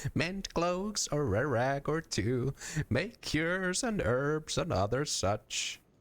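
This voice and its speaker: On a very clean recording with a silent background, a man uses a gruff, put-on character voice pitched fairly high. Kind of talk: put-on old woman voice. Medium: actual play. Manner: gruff, archaic folksy speech.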